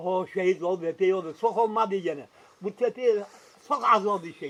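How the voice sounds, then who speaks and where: A man speaks in a high pitch. His pace is moderate. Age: 80s+. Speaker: Korean War veteran. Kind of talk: interview answer.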